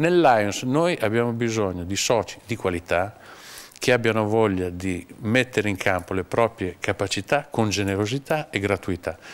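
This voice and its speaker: A man with a plain, everyday voice talks in a fairly low register at a moderate tempo, his pitch varying in an ordinary way. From Romagna, Cesena. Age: 50s. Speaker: communications agency owner. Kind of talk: interview.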